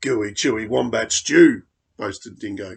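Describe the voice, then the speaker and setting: A man puts on a raspy character voice. He keeps a moderate pace. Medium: read story. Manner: jaunty.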